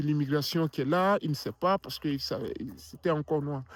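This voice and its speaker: A man with an African accent and a fairly high pitch, speaking at a fairly quick pace in a very clean recording with a silent background. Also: dry, close sound with no echo. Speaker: filmmaker and motivational vlogger. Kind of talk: motivational vlog talk. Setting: outdoors in a park, winter. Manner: hesitant, repeats words.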